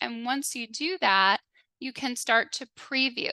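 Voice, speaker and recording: The speaker uses a raised, projected voice with a bright, sharp tone and ordinary pitch variation. The pace is fairly slow, and the background is quiet. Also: woman, dry, close sound with no echo. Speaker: webinar presenter. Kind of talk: software demo webinar. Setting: online webinar.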